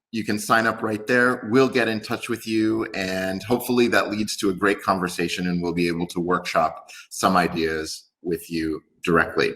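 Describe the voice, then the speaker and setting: In a very clean recording with a silent background, a man with a New York accent speaks at a moderate pace in a fairly low, bright and sharp voice with ordinary pitch variation. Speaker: company executive. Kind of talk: business presentation.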